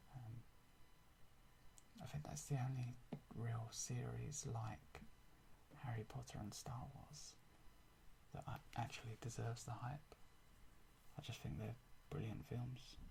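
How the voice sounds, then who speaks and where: Soft-spoken and fairly slow, a man with a London accent talks at a medium pitch with a dark, mellow tone, vocal fry, ordinary pitch variation and long, frequent pauses. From England. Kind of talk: ASMR show and tell. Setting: home recording with microphone.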